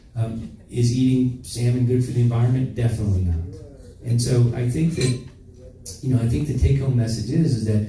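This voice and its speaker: A man's medium-pitched voice at a fairly quick pace, with ordinary pitch variation, noticeable background noise and audible room echo. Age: 60s. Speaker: physician. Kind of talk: interview. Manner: halting.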